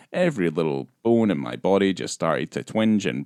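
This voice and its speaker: A man with a Scottish accent speaks in a very deep, low voice with vocal fry and very wide pitch swings, recorded very cleanly against a silent background with a dry, close sound and no echo. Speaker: film podcast host. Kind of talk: casual chat.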